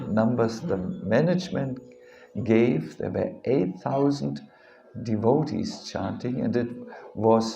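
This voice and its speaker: Through audible room echo and noticeable background noise, a man with a German accent speaks very slowly at a medium pitch, with very wide pitch swings and long, frequent pauses. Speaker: monk and spiritual teacher. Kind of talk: religious lecture. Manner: halting, with many fillers and repetitions.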